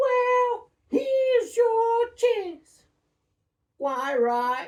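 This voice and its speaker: Squeaky and extremely high, the voice is a put-on character voice. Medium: read story.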